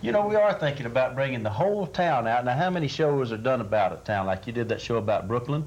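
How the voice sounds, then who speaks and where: A man with a Texan accent speaks at a very fast pace with hardly any pauses, at a medium pitch with very wide pitch swings and very even loudness, over noticeable background noise. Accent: Texas Southern. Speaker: actor. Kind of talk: TV interview.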